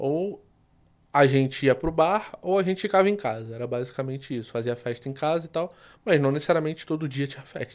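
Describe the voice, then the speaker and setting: A man with a Rio de Janeiro accent speaks in a fairly high pitch with ordinary pitch variation, on a very clean recording with a silent background. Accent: carioca. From Rio de Janeiro, Brazil. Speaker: sports betting tipster. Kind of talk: casual interview.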